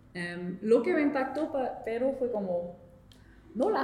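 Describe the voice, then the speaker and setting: A woman talks at a fairly slow pace. Noticeable background noise and audible room echo surround her voice. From Quebec, Montreal. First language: French (speaking Spanish). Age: 20s. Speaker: intern. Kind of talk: interview. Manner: halting.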